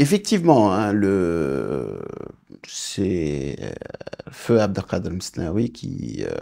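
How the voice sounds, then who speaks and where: A man's very deep, low voice with vocal fry and a dark, mellow tone, against a quiet background. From Senegal, raised in India, Malaysia and Australia, then Morocco. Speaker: business executive; interview guest. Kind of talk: interview. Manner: halting, frequent hesitations. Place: studio. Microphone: lapel.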